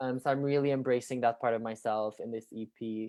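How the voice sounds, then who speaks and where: A man with a Quebec accent at medium pitch, moderate pace and ordinary pitch variation, in a very clean recording with a silent background. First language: French. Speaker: musician. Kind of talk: interview. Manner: hesitant, many fillers.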